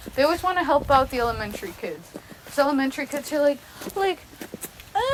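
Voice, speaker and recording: Noticeable background noise sits behind a woman speaking very fast in a high voice. Her intonation is lively and her loudness swings a lot. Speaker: college student podcast co-host. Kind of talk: casual chat. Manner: halting.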